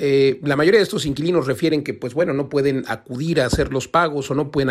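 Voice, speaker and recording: A man with an unremarkable speaking voice talks at a fairly high pitch, using ordinary pitch variation. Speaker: radio host, real estate expert. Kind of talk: radio editorial commentary. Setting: radio studio.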